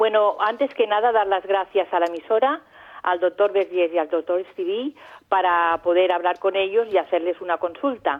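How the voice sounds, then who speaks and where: A woman with a plain, everyday voice speaks at a moderate pace and medium pitch, with ordinary pitch variation and very even loudness. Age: 60s. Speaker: caller. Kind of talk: call-in question.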